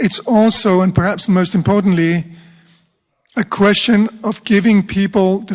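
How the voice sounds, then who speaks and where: This man has a high-pitched voice and a fairly even intonation. He talks at a fairly slow pace. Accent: Danish. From Denmark. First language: Danish. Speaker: rhetoric professor. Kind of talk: panel discussion. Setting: conference room with audience.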